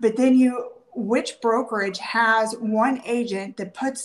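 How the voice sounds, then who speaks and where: A woman with a normal speaking voice talks at a fairly high pitch and a fairly slow pace. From Washington State. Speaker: real estate agent. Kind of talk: interview.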